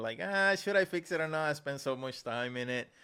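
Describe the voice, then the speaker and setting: A man with a Spanish accent, a very fast pace, lively intonation and a bright, sharp tone, on a very clean recording with a silent background. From Puerto Rico. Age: 40s. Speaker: digital artist, podcast host. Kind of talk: casual interview chat.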